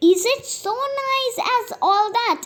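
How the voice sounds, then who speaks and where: Squeaky and extremely high-pitched, a woman's put-on character voice comes through. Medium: read story. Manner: shy, wondering.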